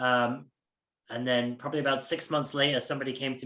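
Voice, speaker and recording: Here a man talks at a moderate pace and a medium pitch. His intonation stays fairly even. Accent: American. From UK. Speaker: security leader. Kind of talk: podcast interview. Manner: hesitant with many fillers.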